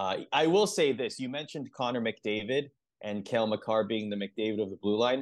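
A man talks at a moderate pace with a medium pitch and a plain, everyday voice against a quiet background. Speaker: podcast host. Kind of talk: casual sports podcast chat.

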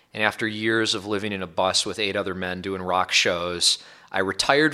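A man at a fairly quick pace, fairly low in pitch with ordinary variation, bright and sharp in tone, on a very clean recording with a silent background. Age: 30s. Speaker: musician turned tech investor. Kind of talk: debate-style conversation.

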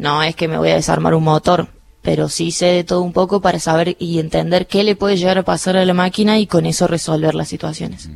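Monotone, flat intonation at a fairly quick pace. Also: woman, fairly low pitch for a woman. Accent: Cordoban. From Argentina, Córdoba city. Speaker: air force helicopter pilot. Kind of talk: radio interview. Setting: studio.

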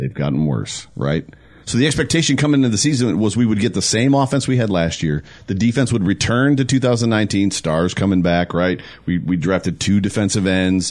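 Fairly quick and very even in loudness, a man speaks with an American accent at a fairly low pitch. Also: lively intonation. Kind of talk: casual sports talk. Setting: studio.

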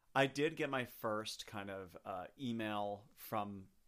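A man talks with an American accent in a fairly low pitch. It is a normal speaking voice with ordinary pitch variation. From Chicago. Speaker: podcast guest, theater fan. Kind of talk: casual chat. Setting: home microphone setup.

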